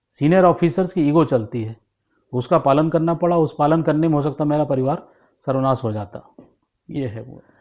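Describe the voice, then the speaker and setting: Recorded very cleanly against a silent background, a man with a fairly high pitch and ordinary pitch variation speaks at a moderate pace with big swings in loudness. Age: 60s. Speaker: retired police officer. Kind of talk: interview. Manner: halting.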